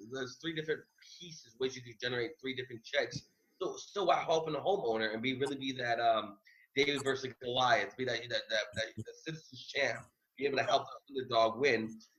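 Speaking at a very fast pace, a man with a medium pitch uses ordinary pitch variation. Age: 30s. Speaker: real estate investor. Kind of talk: interview.

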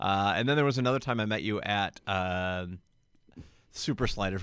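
This man has an unremarkable speaking voice, pitched fairly low. His pitch varies in an ordinary way on a very clean recording with a silent background. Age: 30s. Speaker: radio DJ. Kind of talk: casual chat.

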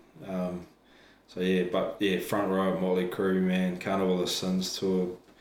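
The speaker has a New Zealand accent and a moderate pace. Audible room echo surrounds the voice. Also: man. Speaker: professional wrestler and trainer. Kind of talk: casual interview chat.

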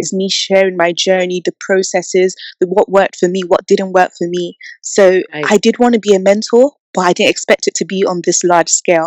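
Speaking with a London accent, a woman of medium pitch goes at a fairly quick pace with fairly even intonation. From England. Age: 20s. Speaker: young entrepreneur and mentor. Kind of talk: interview.

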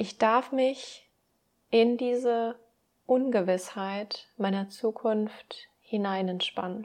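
A woman's very slow, calm, warm voice with a fairly high pitch and fairly even intonation against a quiet background. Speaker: podcast host and mindset coach. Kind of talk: pep talk with affirmations read aloud, guided meditation style. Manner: calm, warm, soothing; slow, gentle, reassuring, encouraging.

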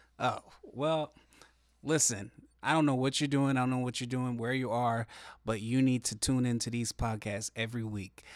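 A man at medium pitch, moderate pace, with long, frequent pauses, in a very clean recording with a silent background. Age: 30s. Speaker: pastor. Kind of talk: casual chat.

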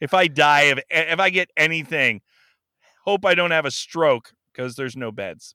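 A man's animated, bright, sharp tone with an American accent, fairly high pitch, ordinary pitch variation and moderate pace, dry and close with no echo on a very clean recording with a silent background. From San Fernando Valley, California. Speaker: podcast host as guest. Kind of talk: casual chat, joking. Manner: animated, joking.

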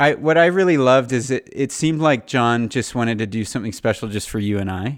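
A man with a Californian accent at a fairly quick pace, in a very clean recording with a silent background. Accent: Californian American. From Southern California. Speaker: podcast host. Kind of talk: casual chat.

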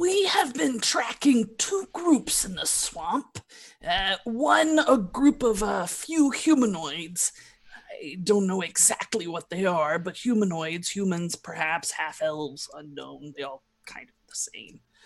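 A woman's put-on character voice, medium in pitch, at a fairly slow pace. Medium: actual play. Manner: blunt, pragmatic.

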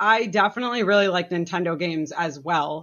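A woman with an American accent, fairly low-pitched, at a moderate pace, an ordinary speaking voice. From Massachusetts. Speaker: board game designer. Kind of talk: casual interview.

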